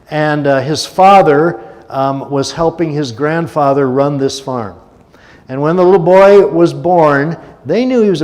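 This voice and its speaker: A man speaks at a moderate pace, his fairly high pitch showing ordinary variation. Audible room echo and noticeable background noise surround him. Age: 70s. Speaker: guest speaker at a church service. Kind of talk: sermon. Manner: conversational, with many filler words.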